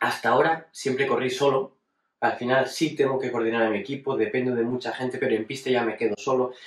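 Spoken at a very fast pace with fairly even intonation, the voice carries audible room echo over a quiet background. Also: man. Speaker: racing driver. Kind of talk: personal retrospective monologue. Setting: at home. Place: home room.

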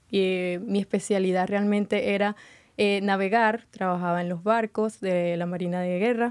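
A woman talks at a moderate pace in a monotone, flat intonation against a quiet background. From Venezuela. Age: 20s. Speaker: beauty pageant contestant; guest. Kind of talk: interview. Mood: friendly, positive. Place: studio. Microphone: studio mic.

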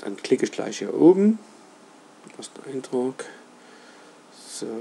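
A man at a very slow pace with very wide pitch swings, amid noticeable background noise. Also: fairly high pitch for a man. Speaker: roofer, company owner. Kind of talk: screen-recorded website tutorial. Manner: casual, hesitant, with filler sounds.

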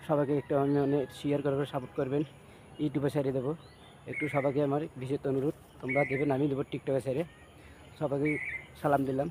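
A man talks in a fairly high voice with monotone, flat intonation. His loudness stays very even throughout. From Bangladesh, Gaibandha (Rangpur region). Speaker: amateur singer / video maker. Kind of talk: casual appeal to viewers.

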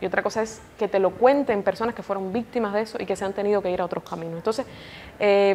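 This is a woman speaking at medium pitch. Her pitch varies in an ordinary way. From Cuba. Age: 20s. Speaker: TV journalist and news presenter. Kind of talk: interview. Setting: indoor room at an institute.

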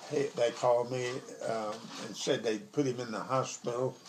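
A man with a Southern US accent speaks in a fairly even intonation over light background noise. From Arkansas. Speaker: grandfather telling a story. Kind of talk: storytelling. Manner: casual, conversational. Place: kitchen. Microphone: phone near.

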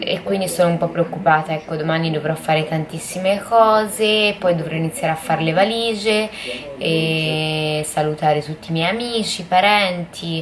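Fairly low female voice, fairly slow pace, ordinary pitch movement, and noticeable noise in the background. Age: 20s. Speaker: vlogger. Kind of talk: personal video diary. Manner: halting. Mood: worried, subdued. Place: home room. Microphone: phone near.

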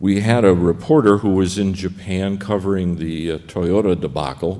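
Pitched very deep and low, a man speaks at a fairly slow pace. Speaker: conference panelist. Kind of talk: lecture. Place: hall. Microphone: podium.

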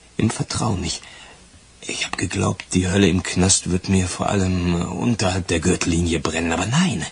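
In a put-on character voice, a man speaks at a moderate pace with low pitch, vocal fry, a husky, rough edge and ordinary pitch variation.

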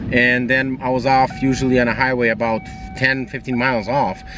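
Noticeable background noise surrounds a man in a dry sound with no echo. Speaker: car owner vlogger. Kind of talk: casual vlog chat. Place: car. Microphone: phone near.

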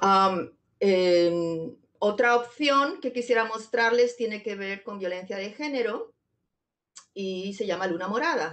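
Very slowly, a woman talks at a medium pitch with ordinary pitch variation. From Zamora, Spain. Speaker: poet and digital artist. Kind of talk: poetry reading and artist talk, playful explanatory commentary. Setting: video conference. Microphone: video call.

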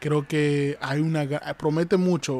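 Here a man speaks at a fairly slow pace in a fairly high pitch. The sound is dry, with no echo. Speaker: wrestling commentator and YouTuber. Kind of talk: wrestling commentary. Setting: live stream. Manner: repetitive, pitching viewers to like and subscribe. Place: home room.

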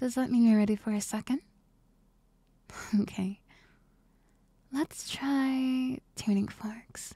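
The delivery is soft-spoken and very slow, with a gentle tone. The sound is dry with no echo, and the background is quiet. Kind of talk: soft-spoken ASMR roleplay. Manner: soft, gentle ASMR roleplay voice.

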